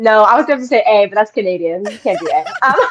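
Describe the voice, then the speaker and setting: An animated woman with an American accent talks at a very fast pace, her pitch swinging very widely. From Denver area, Colorado. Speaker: musical theater actress. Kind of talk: casual chat.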